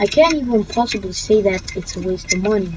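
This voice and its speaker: Over noticeable background noise, the talking moves at a moderate pace. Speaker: gaming YouTuber. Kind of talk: let's play commentary. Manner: loud; halting. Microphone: cheap microphone.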